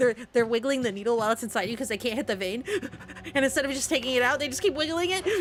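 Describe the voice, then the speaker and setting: There is noticeable background noise as a woman speaks at a very fast pace. Her high voice has lively intonation. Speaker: vtuber streamer. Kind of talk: casual gaming livestream chat. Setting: livestream.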